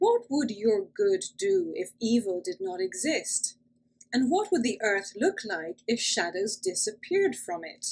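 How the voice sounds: A natural reading voice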